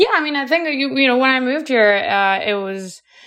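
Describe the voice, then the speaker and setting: A woman talks in a Colombian accent. Her tone is bright and sharp. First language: Spanish. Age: 30s. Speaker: MBA student and entrepreneur. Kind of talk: interview.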